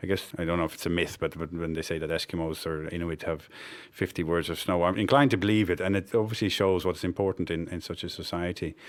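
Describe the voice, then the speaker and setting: Speaking at a very fast pace, a man has a very deep, low pitch and fairly even intonation. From Netherlands, childhood partly in Cameroon. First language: Dutch. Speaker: development network director. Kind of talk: interview.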